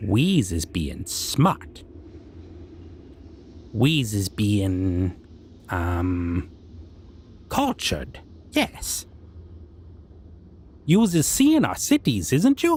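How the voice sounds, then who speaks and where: A put-on character voice speaks with a low pitch at a very slow pace. Long, frequent pauses break it up over clear background noise. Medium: audio drama. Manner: broken grammar, self-important, taunting.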